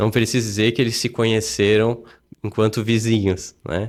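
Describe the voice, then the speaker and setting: Here a man has an unremarkable speaking voice at medium pitch and moderate pace. The recording is very clean, with a silent background. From Blumenau, Santa Catarina, southern Brazil. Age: 30s. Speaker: city councillor. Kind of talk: casual interview chat.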